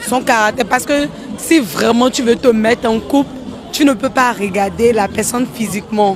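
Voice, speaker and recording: Crowd noise fills the background. A woman speaks at a fairly high pitch with ordinary pitch variation. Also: moderate pace. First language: English (speaking French). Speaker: street interviewee. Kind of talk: street interview. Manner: halting.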